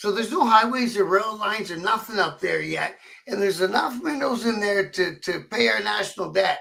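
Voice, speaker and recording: A man's high-pitched, raised and projected voice at a fairly quick pace with ordinary pitch variation. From Canada. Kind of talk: casual chat.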